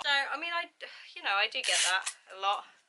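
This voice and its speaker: Speaking at a moderate pace, a woman with an English accent uses a medium pitch and a bright, sharp tone. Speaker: youtuber. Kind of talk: casual chat. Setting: at home.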